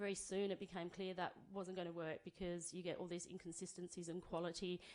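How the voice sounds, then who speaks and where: A woman speaks very fast with an Australian accent. Her pitch is fairly low and her intonation monotone and flat. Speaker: banana grower speaking for a farming cooperative. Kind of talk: conference talk.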